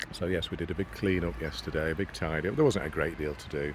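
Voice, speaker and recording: Quiet and at a moderate pace, a man speaks with ordinary pitch variation. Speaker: nature vlogger. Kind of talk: casual outdoor vlog narration. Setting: outdoors by a pond.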